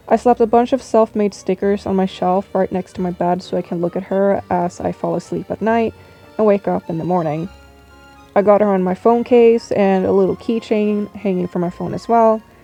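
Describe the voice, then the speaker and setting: Over music in the background, a woman of medium pitch speaks at a moderate pace with fairly even intonation, the sound dry and close with no echo. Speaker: artist and character designer. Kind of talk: casual voice-over for a drawing video. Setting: low-quality home microphone. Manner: monotone.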